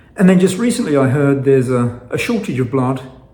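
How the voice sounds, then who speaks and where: A man with an American accent speaks at a fairly high pitch with lively intonation and a dark, mellow tone. Audible room echo surrounds him. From England. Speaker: fasting vlogger. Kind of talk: casual vlog monologue. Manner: halting, with frequent fillers and repetitions.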